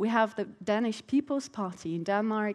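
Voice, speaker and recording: Speaking with a German accent, a woman's voice sits at a fairly high pitch. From Germany. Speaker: political researcher. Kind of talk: panel presentation. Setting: festival stage with audience.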